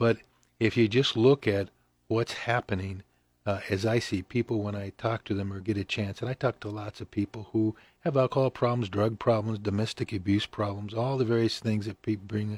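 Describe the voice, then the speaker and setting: A man's somewhat breathy voice has fairly even intonation. It is a very clean recording with a silent background and a dry, close sound with no echo. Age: 70s. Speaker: pastor and mission director. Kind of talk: casual radio interview. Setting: radio studio.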